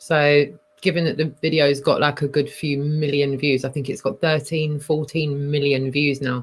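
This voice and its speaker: A woman with a London accent speaks at a very deep, low pitch. Her pace is moderate and her intonation is monotone and flat. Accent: London-sounding voice. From Scotland. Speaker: live stream host. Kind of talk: casual chat. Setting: live stream.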